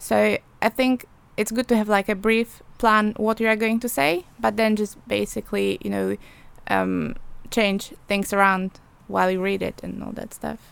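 A woman talks at a moderate pace. She has a Polish accent. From Poland. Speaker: journalism student. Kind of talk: casual interview chat. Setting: studio.

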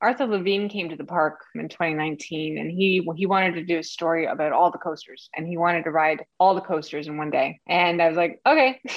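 A woman speaks in a plain, everyday voice at a fairly quick pace, her fairly low pitch moving with ordinary variation and hardly any pauses. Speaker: communications director at theme park. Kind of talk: casual interview chat.

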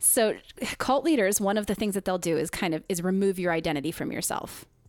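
A woman speaks at a medium pitch on a very clean recording with a silent background. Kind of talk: casual conversational podcast discussion.

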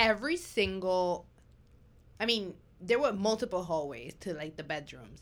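On a very clean recording with a silent background, the voice shows vocal fry and very wide pitch swings at a moderate pace, with long, frequent pauses. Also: woman, medium pitch for a woman. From New York. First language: not English. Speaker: podcast host. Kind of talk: casual chat. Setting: studio.

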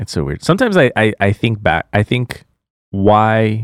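A man's fairly low voice at a moderate pace, dry and close with no echo. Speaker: podcast host. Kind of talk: casual chat. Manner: joking, laughs often.

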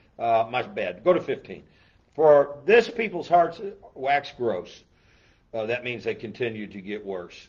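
With an animated tone and a fairly slow pace, a man with a fairly high pitch makes very wide pitch swings and big swings in loudness. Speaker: church pastor hosting a Bible show. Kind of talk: casual Bible talk show. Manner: animated, raised voice.

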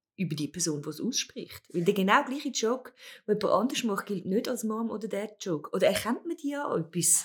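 A woman speaks at a very fast pace with a fairly high, somewhat breathy voice. Her pitch swings very widely. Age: 50s. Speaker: podcast host. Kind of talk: casual chat.

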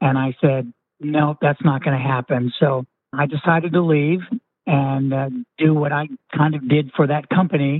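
A man uses a normal speaking voice with fairly even intonation. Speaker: retired entrepreneur and physician. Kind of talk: interview.

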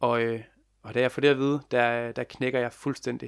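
In a very clean recording with a silent background, a man talks at a moderate pace with a medium pitch. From West Jutland, Denmark. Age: 20s. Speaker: youth mental health volunteer and family carer. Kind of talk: interview.

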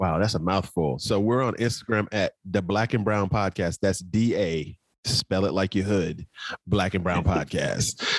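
A man with a Southern US accent and a fairly low pitch speaks at a fairly slow pace, with ordinary pitch variation and very even loudness, in a very clean recording with a silent background and a dry, close sound with no echo. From South Carolina Sandhills. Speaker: bourbon podcast co-host. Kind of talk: casual chat.

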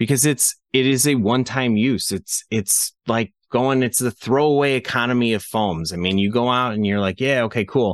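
An unremarkable speaking voice from a man, medium in pitch, at a moderate pace, with ordinary pitch variation, very even loudness, a quiet background and a dry, close sound with no echo. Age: 30s. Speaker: gun case company co-founder. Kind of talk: casual chat. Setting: home garage.

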